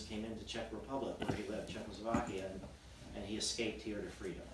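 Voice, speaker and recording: The speech comes at a very fast pace. Loud background noise and audible room echo fill the recording. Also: man. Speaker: psychedelic research nonprofit founder. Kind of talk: fireside chat talk to audience. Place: home room. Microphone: camera far.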